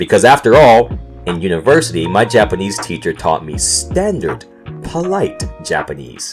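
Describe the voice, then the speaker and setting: Music plays in the background as a man speaks with an American accent. He talks at a fairly slow pace with very wide pitch swings. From North Carolina, USA. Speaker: podcast host. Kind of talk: casual podcast storytelling.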